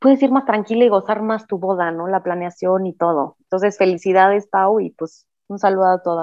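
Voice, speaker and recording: Her pace fairly quick, a woman uses a normal speaking voice at medium pitch with fairly even intonation. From Mexico City. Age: 30s. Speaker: recently married bride. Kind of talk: casual chat.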